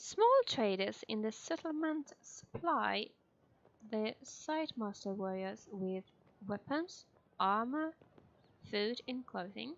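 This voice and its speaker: A woman with a non-native accent at a very slow pace, with long, frequent pauses and lively intonation. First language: not English. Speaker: gamer. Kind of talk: casual let's play commentary.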